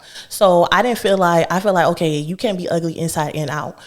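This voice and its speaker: A woman speaks at a fairly quick pace in an animated tone. Her pitch is fairly low, with ordinary variation. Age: 20s. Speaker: podcast host. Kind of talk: casual chat.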